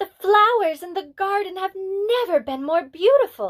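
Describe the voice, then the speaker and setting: Putting on a character voice, a woman speaks at an extremely high pitch with lively intonation and a moderate pace. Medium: read story.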